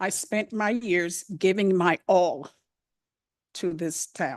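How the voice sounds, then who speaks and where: A woman speaks at a medium pitch with fairly even intonation over a quiet background. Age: 60s. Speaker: police department employee. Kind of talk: public comment at council meeting. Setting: town council meeting.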